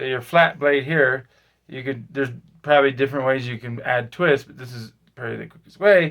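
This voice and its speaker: Recorded very cleanly against a silent background, a man speaks at a fairly high pitch and a fairly quick pace with ordinary pitch variation. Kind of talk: tutorial. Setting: in a pantry at home. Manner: halting, many fillers.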